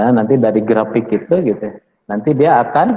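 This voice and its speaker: A man at medium pitch with a Sundanese accent, ordinary pitch variation, and a fairly slow pace. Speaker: university lecturer. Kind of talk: lecture. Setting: classroom with online students. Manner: casual, with many fillers.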